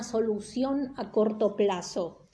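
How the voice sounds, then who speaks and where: A woman speaks at a very slow pace in a dark, mellow tone, with audible room echo. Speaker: teacher. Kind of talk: lecture. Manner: casual, hesitant with fillers.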